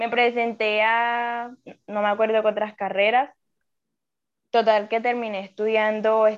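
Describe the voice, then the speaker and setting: A woman speaks at a fairly high pitch against a quiet background. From Colombian Caribbean coast. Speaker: engineering student. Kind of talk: casual chat. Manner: animated.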